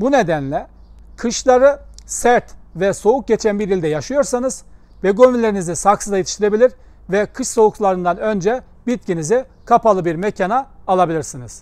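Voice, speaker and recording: Lively intonation marks a man's high-pitched voice at a moderate pace. The sound is dry, with no echo. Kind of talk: tutorial. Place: garden.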